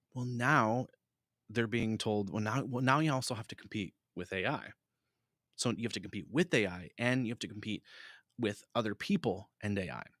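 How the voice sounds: In a very clean recording with a silent background and a dry, close sound with no echo, a man speaks at a moderate pace with a fairly low pitch, ordinary pitch variation, and a fairly bright tone.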